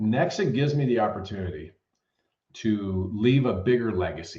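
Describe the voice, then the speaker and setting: A man speaks at a medium pitch with lively intonation and a dark, mellow tone, somewhat breathy, with audible room echo. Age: 60s. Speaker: mortgage sales executive. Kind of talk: podcast interview.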